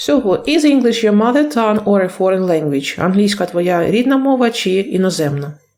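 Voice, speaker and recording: A woman speaks at a moderate pace with a medium pitch and very even loudness. Her pitch swings very widely. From Ukraine. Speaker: English teacher. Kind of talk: video lesson. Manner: halting, with self-corrections.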